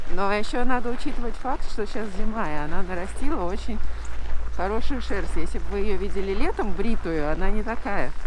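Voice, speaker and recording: A woman speaks at a fairly quick pace. The sound is dry with no echo, and noticeable background noise is present. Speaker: vlogger. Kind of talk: casual chat. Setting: outdoors. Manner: quiet. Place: street. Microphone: muffled by fur windscreen; phone near.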